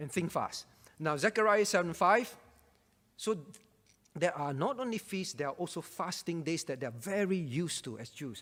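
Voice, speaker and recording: A man's high-pitched voice with lively intonation, a moderate pace and long, frequent pauses. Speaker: pastor. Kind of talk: bible Q&A teaching.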